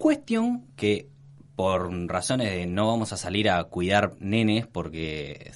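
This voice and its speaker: With a normal speaking voice, this man talks at a fairly low pitch and shows ordinary pitch variation. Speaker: podcast co-host. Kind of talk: casual chat.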